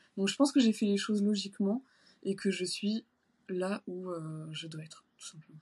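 At a moderate pace and medium pitch, a woman speaks with ordinary pitch variation and a somewhat breathy voice. Her loudness swings widely, with long, frequent pauses. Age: 30s. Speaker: shoe designer and bodybuilding competitor. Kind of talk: casual interview. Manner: hesitant, many fillers.

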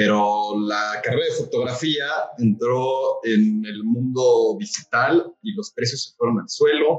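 A man with a Mexico City accent over music in the background. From Mexico City (Coyoacán). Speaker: chef and coffee roaster. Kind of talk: casual interview.

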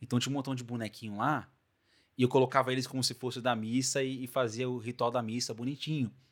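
Very fast and animated in tone, a man speaks on a very clean recording with a silent background. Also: medium pitch for a man. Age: 20s. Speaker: podcast host. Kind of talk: casual chat.

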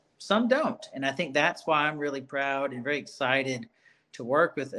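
Speaking with an Alabama accent, a man has a fairly high pitch and lively intonation. His tone is bright and sharp. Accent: Southern US (Alabama). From Birmingham, Alabama, US South. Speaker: school psychologist. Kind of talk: casual interview.

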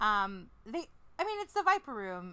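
A woman uses a raised, projected voice with a bright, sharp, playful tone, moving at a moderate pace through very wide pitch swings. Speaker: podcast co-host. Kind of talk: casual banter chat. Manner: playful, joking.

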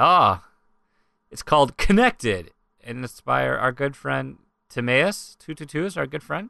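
Speaking fairly slowly with an American accent, a man leaves long, frequent pauses and shows big swings in loudness. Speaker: podcast host. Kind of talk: casual chat.

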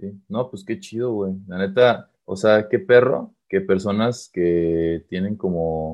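The speaker has a Mexican accent. Intonation stays fairly even. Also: man. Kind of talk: casual chat.

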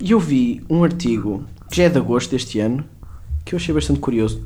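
A man with a dark, mellow tone speaks at a fairly quick pace with lively intonation. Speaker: podcast co-host. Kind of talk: casual chat.

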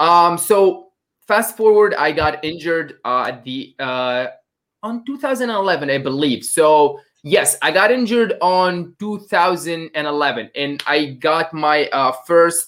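A man with a high voice speaks very slowly, his intonation lively. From North Africa. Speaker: online fitness coach. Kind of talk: casual chat.

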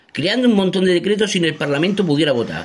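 A man's voice, high in pitch. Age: 40s. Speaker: political activist. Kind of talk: voice message.

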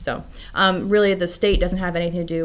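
This woman has an American accent and a fairly low pitch. Noticeable background noise can be heard. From US West Coast. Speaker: homeschooling parent. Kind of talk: interview. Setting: studio.

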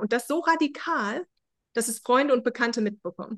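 Against a quiet background, the pitch moves with ordinary variation. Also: woman. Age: 40s. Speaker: founder of a self-help method. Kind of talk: interview. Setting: video call.

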